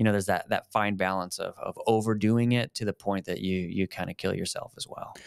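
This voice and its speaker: In an American accent, a man talks at a fairly quick pace with fairly low pitch and monotone, flat intonation, the sound dry with no echo. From Colorado. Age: 30s. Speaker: fitness and faith video host; faith video host. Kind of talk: casual chat. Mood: earnest, reflective. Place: home room. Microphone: studio mic.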